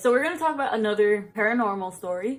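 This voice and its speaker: Over music in the background, a woman talks very fast at a fairly high pitch. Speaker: storytime vlogger. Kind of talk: casual storytelling.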